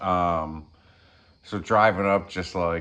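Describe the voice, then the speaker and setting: Over a quiet background, a man talks in a very deep, low voice. His intonation is monotone and flat. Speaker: vlogger sharing personal experience. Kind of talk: personal storytelling monologue. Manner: hesitant, many fillers.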